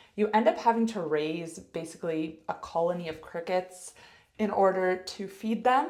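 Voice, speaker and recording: A woman talks fairly slowly, her pitch varying in an ordinary way, while noticeable noise sounds behind her. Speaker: health coach and ice hockey player. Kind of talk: casual vlog monologue.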